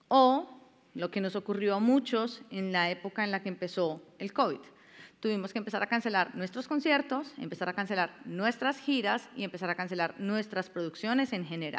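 Here a woman has an unremarkable speaking voice, medium in pitch, moving at a moderate pace with lively intonation. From Colombia. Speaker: cultural manager and artist manager. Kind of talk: masterclass lecture. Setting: classroom with live audience. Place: stage. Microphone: headset.

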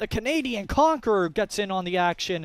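A man speaks at a moderate pace against a quiet background. His pitch swings very widely, and the sound is dry with no echo. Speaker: sports play-by-play commentator. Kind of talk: live sports commentary over match highlights. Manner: exclaims goals with nicknames, clipped short phrases. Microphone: headset.

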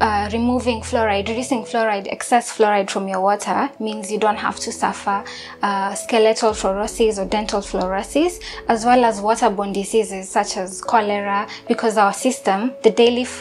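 A woman speaks at a moderate pace with fairly even intonation. Light background noise can be heard. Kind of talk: interview answer. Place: kitchen. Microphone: lapel.

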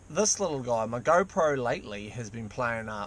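A man's voice with ordinary pitch variation, dry and echo-free, over light background noise. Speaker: vlogger. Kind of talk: casual vlog chat. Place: car. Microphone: phone near.

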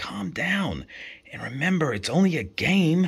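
A put-on character voice, hissing and whispering at a moderate pace. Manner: hissed, urgent whisper.

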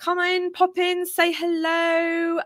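A woman is speaking. The sound is dry with no echo, and the background is quiet. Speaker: small business coach. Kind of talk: casual livestream chat. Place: home room. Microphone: studio mic.

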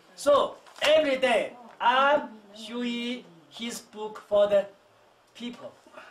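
Speaking with a Chinese accent, a man goes at a very slow pace. Light background noise can be heard. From China. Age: 80s+. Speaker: traditional physician. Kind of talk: monologue to visitors. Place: shop. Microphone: camera far.

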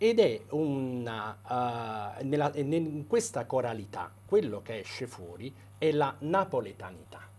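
Speaking very slowly, a man uses lively intonation with big swings in loudness. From Italy. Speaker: doctor and debut novelist. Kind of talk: interview. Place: studio. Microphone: lapel.

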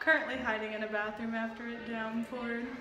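There is noticeable background noise behind this woman. She speaks at a high pitch and a moderate pace. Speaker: vlogger. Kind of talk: casual vlog chat. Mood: cheerful, laughing. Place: bathroom. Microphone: phone near.

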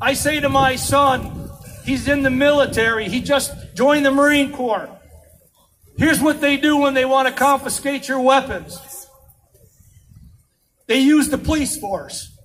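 Delivery runs at a fairly slow pace with fairly even intonation. Long, frequent pauses break it up. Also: man. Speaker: speaker. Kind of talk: political speech. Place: street.

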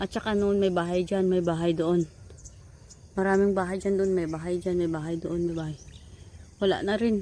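Her voice sits at a medium pitch with a dark, mellow tone and monotone, flat intonation. The woman speaks at a moderate pace with long, frequent pauses. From Philippines, Visayas. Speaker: vlogger, overseas worker. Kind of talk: casual vlog narration. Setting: outdoors on a farm.

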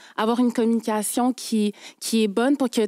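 A woman's high-pitched voice, dark and mellow in tone, with a dry sound, no echo and a quiet background. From Quebec, Haitian parents. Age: 20s. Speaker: lawyer. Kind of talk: testimony. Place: studio. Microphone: studio mic.

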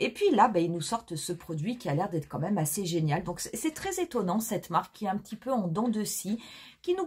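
A woman's somewhat breathy voice. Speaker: beauty vlogger. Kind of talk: casual chat. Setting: video.

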